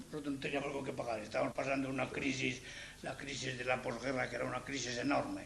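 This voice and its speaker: A man speaks at a very fast pace. Noticeable background noise and audible room echo are present. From Spain, Salamanca province. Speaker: Spanish immigrant interviewee. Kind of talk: interview storytelling.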